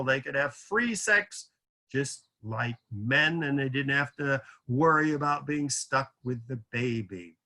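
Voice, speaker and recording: Speaking very slowly against a quiet background, a man uses a fairly high voice with a bright, sharp tone and ordinary pitch variation. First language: French. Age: 70s. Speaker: lecturer. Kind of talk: lecture. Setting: video call.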